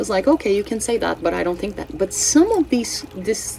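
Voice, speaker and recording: Lively intonation from a woman with a Brazilian Portuguese accent, at a moderate pace, with music in the background. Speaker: astrology and tarot channel host. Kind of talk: casual spiritual forecast monologue. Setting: home, cats present. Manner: halting, with many fillers and self-corrections.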